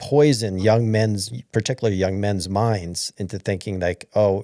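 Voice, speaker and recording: With an American accent, a man speaks at a moderate pace in a dark, mellow tone. The recording is very clean, with a silent background and a dry, close sound with no echo. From New York. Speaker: livestream host. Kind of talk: casual chat.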